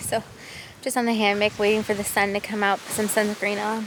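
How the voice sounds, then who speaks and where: Fairly high female speech at a moderate speed amid noticeable background noise. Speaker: travel vlogger. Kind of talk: casual vlog narration. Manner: casual, chatty.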